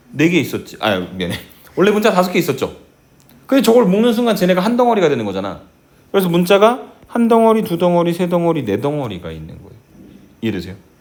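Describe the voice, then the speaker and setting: Very fast and broken by long, frequent pauses, a man speaks in a high voice with very wide pitch swings. His loudness varies greatly, and audible room echo surrounds him. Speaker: math teacher. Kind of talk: lecture. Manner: slightly slurred articulation; animated.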